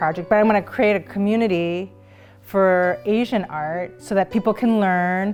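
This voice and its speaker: Music plays in the background as a woman speaks. Her pace is moderate, her pitch medium, with ordinary pitch variation. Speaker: interviewee's child. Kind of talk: interview answer.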